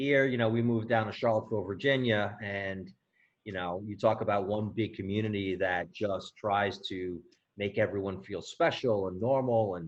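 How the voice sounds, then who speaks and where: An unremarkable speaking voice with an American accent. It moves at a moderate pace with fairly even intonation. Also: man, fairly low pitch for a man. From New York. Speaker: parent of patients. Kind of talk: panel discussion.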